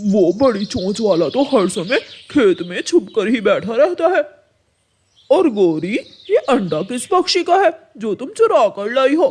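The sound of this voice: Extremely high in pitch, a man puts on a cartoonish character voice. It has very wide pitch swings. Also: moderate pace.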